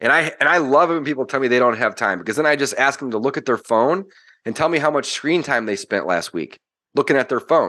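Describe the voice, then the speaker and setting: In a quiet background, a man with an American accent talks at a very fast pace, his fairly high pitch carrying lively intonation, a bright, sharp tone and vocal fry. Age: 30s. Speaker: real estate investor. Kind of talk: podcast interview.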